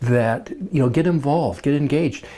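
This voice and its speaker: A man speaks at a moderate pace with a medium pitch. His voice is somewhat breathy, with a dark, mellow tone. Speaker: club member interviewee. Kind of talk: interview. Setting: recorded on camera. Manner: halting, many fillers.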